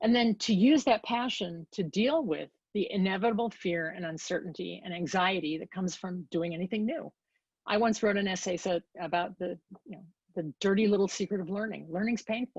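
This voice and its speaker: Somewhat breathy and fairly quick, a woman speaks at a medium pitch with big swings in loudness, the sound dry and close with no echo. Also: ordinary pitch variation. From Chicago area, US Midwest. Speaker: design and innovation consultant. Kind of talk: guest lecture. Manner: animated.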